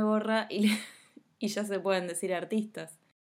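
A woman talks at a moderate pace. She has a Rioplatense accent. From Argentina, Buenos Aires conurbano. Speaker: podcast host. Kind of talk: casual interview. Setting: home recording.

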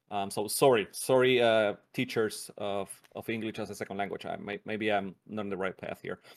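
With a Spanish accent, a man speaks in a fairly low pitch at a moderate pace, with monotone, flat intonation and hardly any pauses, on a very clean recording with a silent background. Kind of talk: casual interview chat. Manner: laughs often, casual.

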